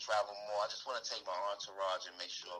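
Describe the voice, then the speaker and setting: Speaking at a fairly quick pace, a man talks with an American accent. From New York City. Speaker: hip hop artist. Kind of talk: interview.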